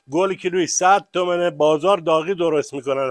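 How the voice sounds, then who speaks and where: A man's high voice with fairly even intonation, in a dry, close sound with no echo. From Kashan region, Iran (Barzok). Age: old. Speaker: local villager, farmer. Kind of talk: casual street interview.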